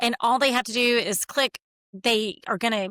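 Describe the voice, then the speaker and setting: A woman with a Southern US accent speaks at a fairly high pitch with fairly even intonation, the sound dry and close with no echo. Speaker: therapist and author. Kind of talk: interview.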